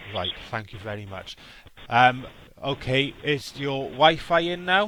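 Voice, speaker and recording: A man speaks at a fairly slow pace with a strong Welsh accent, his medium-pitched voice bright and sharp in tone, with lively intonation and big swings in loudness. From South Wales. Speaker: scam baiter. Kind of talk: phone call advice to scam victim.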